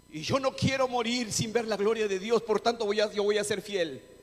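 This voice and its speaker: Moderate speech from a man with a high voice, ordinary pitch movement, and noticeable noise behind it. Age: 60s. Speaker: pastor. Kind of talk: sermon. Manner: animated.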